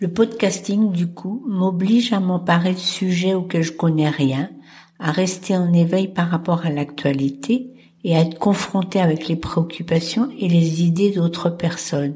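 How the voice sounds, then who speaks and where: A woman talks at a fairly slow pace with a fairly low pitch and ordinary pitch variation. Her voice is somewhat breathy, with a dark, mellow tone. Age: 70s. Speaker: podcast host. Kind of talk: solo podcast monologue.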